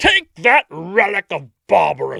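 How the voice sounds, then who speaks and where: Someone delivers a put-on character voice at a fairly slow pace. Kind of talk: formal, archaic. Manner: pompous, disapproving.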